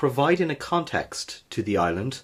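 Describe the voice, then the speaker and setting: A man's voice rises and falls in very wide pitch swings. It is somewhat breathy. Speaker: history podcast host. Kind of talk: history podcast narration.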